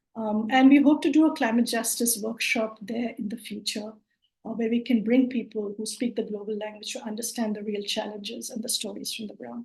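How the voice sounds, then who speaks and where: A somewhat breathy woman with a Bengali accent speaks at a fairly quick pace with a fairly high pitch. Her intonation is fairly even, but her loudness swings a lot. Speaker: climate justice network organiser. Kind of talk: online presentation. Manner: hesitant, many fillers.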